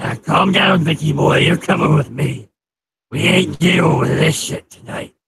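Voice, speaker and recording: A man puts on a gruff, raspy character voice at a fairly high pitch, moving at a moderate pace. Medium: audio drama. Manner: gruff, swearing.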